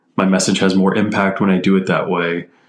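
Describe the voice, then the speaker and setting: Against noticeable background noise, a man with a fairly low pitch talks at a fairly quick pace. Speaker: energy engineer. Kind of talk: casual chat.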